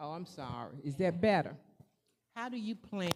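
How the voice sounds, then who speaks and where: This woman's voice has a dark, mellow tone. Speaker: resident asking questions. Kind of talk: public question at town hall. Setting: public town hall with audience. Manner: loud.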